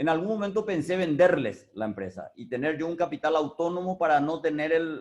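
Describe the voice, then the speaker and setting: A man talks in an ordinary speaking voice at a fairly quick pace. His pitch is fairly high and his intonation lively. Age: 60s. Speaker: business owner. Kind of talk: talk on experience. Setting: video call.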